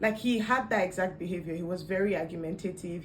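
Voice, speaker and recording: With noticeable background noise and audible room echo, a woman speaks at a fairly low pitch with fairly even intonation. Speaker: vlogger. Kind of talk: casual storytelling vlog.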